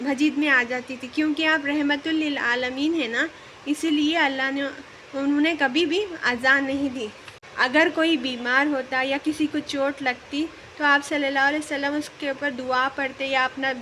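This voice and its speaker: The voice is raised and projected. Its intonation stays monotone and flat. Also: woman, high pitch for a woman. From Hyderabad, India. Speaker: vlogger, mother. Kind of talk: religious talk to camera.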